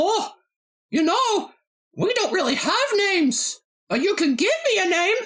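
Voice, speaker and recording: This put-on character voice is extremely high in pitch. It moves at a moderate pace with long, frequent pauses. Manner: friendly.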